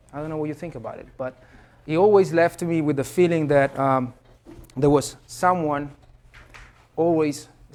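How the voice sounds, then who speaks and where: This man speaks in an Italian accent at a moderate pace. His pitch is fairly high. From Italy. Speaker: professor. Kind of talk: lecture. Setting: classroom. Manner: halting, many fillers.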